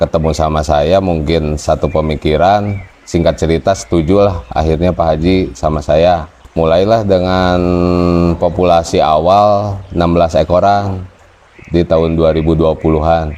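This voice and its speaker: The speech moves at a moderate pace with very even loudness and fairly even intonation. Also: man, very deep, low pitch for a man. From West Java (Tasikmalaya). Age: 20s. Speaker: cattle farmer. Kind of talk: interview testimony. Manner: casual, with hesitations.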